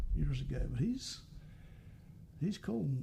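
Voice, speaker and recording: Over noticeable background noise, a man speaks in a Southern US accent. His pace is fairly slow. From US South, South Carolina. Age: 70s. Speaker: singer-songwriter. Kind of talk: casual chat.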